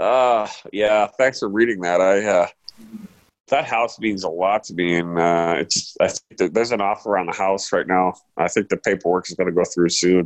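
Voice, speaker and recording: In a normal speaking voice, a man with an American accent talks at a moderate pace, his fairly low pitch showing ordinary variation. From US. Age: 50s. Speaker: sports reporter. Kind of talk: casual chat.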